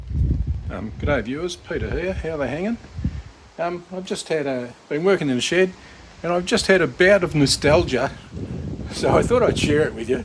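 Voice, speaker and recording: With a strong Australian accent, a man speaks at a moderate pace and a fairly high pitch. His intonation is lively, and there is noticeable background noise. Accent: broad Australian. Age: 60s. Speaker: YouTuber, retired repairman. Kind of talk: casual vlog monologue. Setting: in a shed. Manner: hesitant, many fillers.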